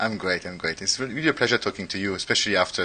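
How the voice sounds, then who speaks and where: A man speaks with a French accent. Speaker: podcast host. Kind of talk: interview.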